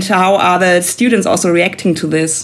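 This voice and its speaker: Speaking with a German accent over noticeable background noise, a woman keeps a medium pitch and fairly even intonation. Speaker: podcast host. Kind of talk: interview. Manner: hesitant, frequent fillers.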